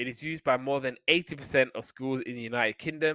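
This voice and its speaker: In a British accent, a man speaks very fast at a medium pitch, his tone bright and sharp. The intonation is fairly even, and the recording is very clean with a silent background. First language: Somali. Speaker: podcast host. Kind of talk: casual chat; reading aloud.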